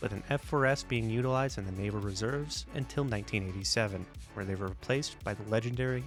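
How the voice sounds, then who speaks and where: This man talks very fast, his fairly low voice swinging very widely in pitch. Music plays behind him. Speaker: aviation history narrator. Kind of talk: documentary voiceover narration.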